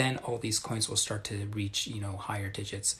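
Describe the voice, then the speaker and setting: A soft-spoken man whispering, somewhat breathy. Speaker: crypto livestreamer. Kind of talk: live stream Q&A. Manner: soft-spoken, near whisper.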